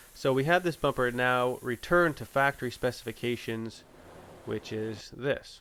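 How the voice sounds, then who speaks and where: A man speaking at a moderate pace in a bright, sharp tone, ordinary pitch variation, on a very clean recording with a silent background. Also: medium pitch for a man. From Canada. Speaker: auto body painter. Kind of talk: tutorial; casual chat. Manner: casual, filler-heavy.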